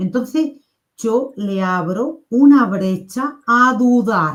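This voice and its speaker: A woman speaks very slowly in an Andalusian accent. Her voice sits fairly high, with lively intonation. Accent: Andalusian (Seville), kept. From Spain, Seville province (Andalusia). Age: 50s. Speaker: NLP coach. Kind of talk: casual chat. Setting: live stream.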